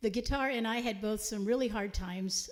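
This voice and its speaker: A somewhat breathy woman with a Texan accent at a fairly quick pace. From Texas, San Antonio. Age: 70s. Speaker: singer-songwriter. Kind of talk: live concert banter.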